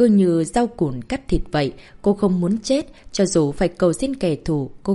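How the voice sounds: Here we hear a natural reading voice.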